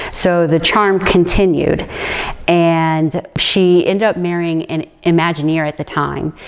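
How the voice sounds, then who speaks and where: Through noticeable background noise, a woman with a fairly low pitch speaks at a very slow pace in a monotone, flat intonation. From Hawaii and Orlando, Florida (military family). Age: 40s. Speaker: storyteller interviewee. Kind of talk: personal life story. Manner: casual, conversational.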